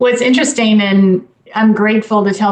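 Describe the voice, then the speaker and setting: At a moderate pace, a woman with an American accent uses a normal speaking voice at a medium pitch with fairly even intonation. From US South, Dalton, Georgia. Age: 50s. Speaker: nonprofit CEO. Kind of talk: radio interview.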